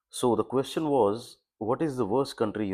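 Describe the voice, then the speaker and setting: Here a man speaks with an Indian accent. His pace is moderate and his pitch variation ordinary. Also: very clean recording, silent background. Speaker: vlogger, former business owner. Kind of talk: casual vlog commentary. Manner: halting, with fillers.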